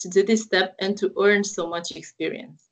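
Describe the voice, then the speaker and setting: This woman has a Romanian accent and a medium-pitched voice. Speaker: university representative. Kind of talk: interview. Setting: online live call.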